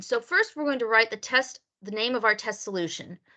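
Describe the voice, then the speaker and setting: A woman speaks at a moderate pace with a bright, sharp tone. The background is quiet. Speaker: lab instructor. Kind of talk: online lab class.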